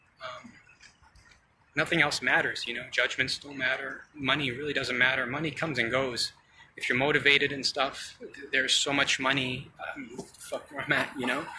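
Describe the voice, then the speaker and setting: A man at a fairly high pitch, monotone and flat in intonation, at a moderate pace, with noticeable background noise. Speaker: vlogger, brain surgery patient. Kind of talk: casual vlog monologue. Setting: outdoors. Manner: halting, many fillers.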